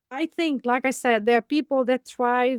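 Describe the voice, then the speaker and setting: The sound is dry and close with no echo. A woman speaks at a high pitch. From Africa. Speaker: aging advocate. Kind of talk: interview. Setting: podcast interview.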